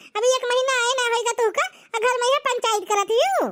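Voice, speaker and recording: A woman's squeaky, cartoonish character voice at an extremely high pitch, very fast, with fairly even intonation. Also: very even loudness. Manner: chattering, repeats "हैं?".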